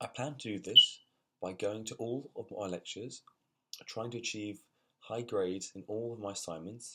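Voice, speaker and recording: Speaking at a moderate pace and medium pitch, a man keeps his intonation fairly even while his loudness swings widely. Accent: London. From London. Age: 20s. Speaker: university student. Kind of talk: personal vlog. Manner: halting, repeated words.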